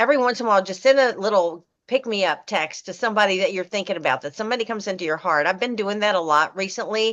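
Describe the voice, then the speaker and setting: Energetic in tone, a woman talks at a very fast pace with hardly any pauses. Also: medium pitch for a woman, ordinary pitch variation. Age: 70s. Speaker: direct sales consultant. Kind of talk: team meeting chat.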